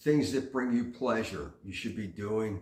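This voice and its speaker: With audible room echo around him, a man speaks in a fairly low, somewhat breathy voice at a fairly slow pace, his intonation lively. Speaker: vlogger giving life advice. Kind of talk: casual monologue. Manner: frequent fillers (uh, um).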